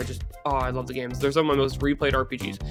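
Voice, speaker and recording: A woman speaks with music in the background. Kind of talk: video essay commentary. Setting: home recording, lower audio quality. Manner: sounds bored and tired.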